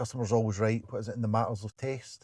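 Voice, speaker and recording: A man with a Glasgow accent speaks at a medium pitch with fairly even intonation, recorded dry and close with no echo. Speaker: stand-up comedian. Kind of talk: interview answer. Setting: in a parked car.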